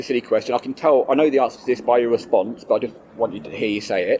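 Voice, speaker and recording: A man talks at a very fast pace. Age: young. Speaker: vegan advocate interviewer. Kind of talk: casual interview.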